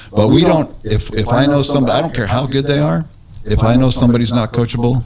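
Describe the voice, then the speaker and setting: The speech comes at a very fast pace, with very even loudness and ordinary pitch variation. Noticeable background noise is present. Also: man, medium pitch for a man. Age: 60s. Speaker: real estate radio show host. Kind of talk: casual radio talk show interview.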